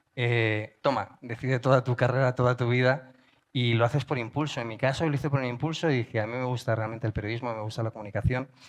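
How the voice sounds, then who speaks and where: Speaking very fast against a quiet background, a man uses a medium pitch and fairly even intonation. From Spain. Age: middle-aged. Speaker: journalist and podcaster. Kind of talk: conference talk. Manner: casual, hesitant with fillers.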